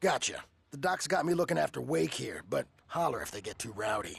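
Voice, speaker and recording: A raspy, put-on character voice from a man, fairly high in pitch and fairly quick in pace. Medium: video game.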